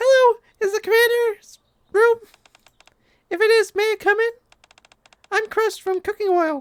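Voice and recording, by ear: In a put-on character voice, squeaky and extremely high-pitched, the speaker talks at a moderate pace with long, frequent pauses.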